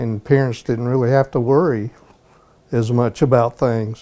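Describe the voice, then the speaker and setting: A man's dark, mellow, medium-pitched voice with a Southern US accent, fairly slow and with fairly even intonation. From US South, Georgia (Conyers, near Atlanta). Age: 60s. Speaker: local resident. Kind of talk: interview, personal recollections. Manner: conversational, some hesitations.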